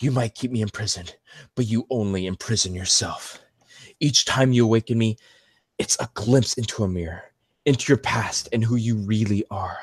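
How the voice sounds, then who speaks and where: A man uses a put-on character voice at medium pitch, talking at a moderate pace with ordinary pitch variation in a dry, close sound with no echo. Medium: read story. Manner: earnest, pleading.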